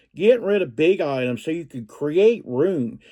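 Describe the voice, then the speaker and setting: A man's fairly high voice in a Southern US accent, very wide pitch swings, a fairly slow pace, and a very clean recording over a silent background. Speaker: reseller vlogger. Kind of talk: casual vlog talk. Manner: halting, with fillers and repeats.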